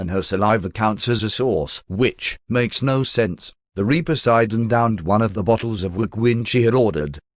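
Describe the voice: The voice is plain reading aloud, with ordinary pitch variation and a quiet background.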